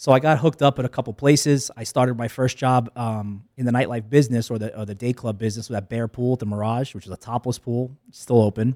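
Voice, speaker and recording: A man with an American accent and a dark, mellow tone, talking at a very fast pace with hardly any pauses and fairly even intonation, on a very clean, dry, close recording with a silent background and no echo. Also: medium pitch for a man. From New York. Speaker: nightlife promoter and restaurant owner. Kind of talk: casual chat. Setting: studio.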